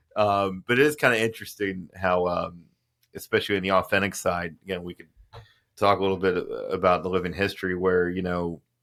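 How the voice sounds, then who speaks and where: A man speaks at a fairly quick pace with a slight Southern US accent, his pitch very deep and low and his intonation fairly even. His loudness swings widely, and the recording is very clean with a silent background. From Alabama. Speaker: podcast host. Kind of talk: casual chat. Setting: studio.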